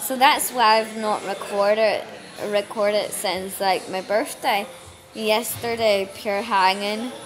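A woman's fairly high voice with a Northern Irish accent, very slow and fairly even in intonation, over light background noise. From Northern Ireland. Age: 30s. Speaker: vlogger; holiday vlogger. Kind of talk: casual travel vlog; casual vlog chat. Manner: stumbling over words. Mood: hungover, relaxed, chatty. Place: hall. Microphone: phone near.

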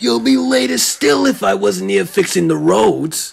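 Using a put-on character voice, a man talks at a moderate pace with a medium pitch. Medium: audio drama. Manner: rude, insulting.

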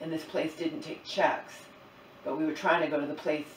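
A woman's voice is heard with audible room echo and light background noise. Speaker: vlogger. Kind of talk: casual vlog chat. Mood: upset, retelling a stressful event. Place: kitchen. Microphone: camera far.

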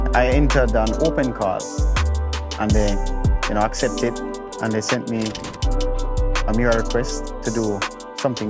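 Loud music plays in the background as a man speaks at a moderate pace with long, frequent pauses, the sound dry with no echo. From Jamaica. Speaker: visual artist, muralist. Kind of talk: interview answer. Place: street. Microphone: lapel.

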